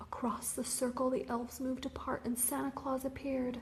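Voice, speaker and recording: Whispering at a fairly slow pace, the speaker is soft-spoken with a gentle tone. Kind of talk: whispered ASMR picture-book reading, relaxing bedtime story. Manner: whispered, soft, gentle.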